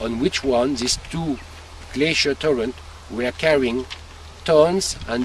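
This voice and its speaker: Over noticeable background noise, a man with a French accent speaks at a medium pitch with lively intonation. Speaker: winemaker. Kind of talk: explanatory tour talk to visitors. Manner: halting, searching for English words.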